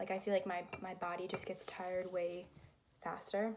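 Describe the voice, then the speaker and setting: A woman speaks with an American accent. Noticeable background noise sits behind her. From Connecticut, US. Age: 20s. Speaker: college student and vlogger. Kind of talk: casual vlog chat while painting. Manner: casual, hesitant with fillers.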